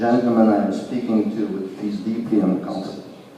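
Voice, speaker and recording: A man is speaking. Room echo is audible. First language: French. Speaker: audience member at a festival talk. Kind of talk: audience question and comment. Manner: halting.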